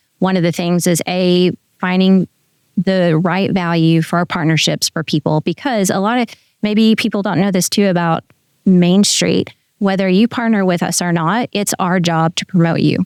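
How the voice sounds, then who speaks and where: In an unremarkable speaking voice, a woman with an American accent speaks at a moderate pace and medium pitch, with fairly even intonation and very even loudness, on a very clean recording with a silent background and a dry, close sound with no echo. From Oklahoma. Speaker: executive director of a downtown Main Street program. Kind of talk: podcast interview answer.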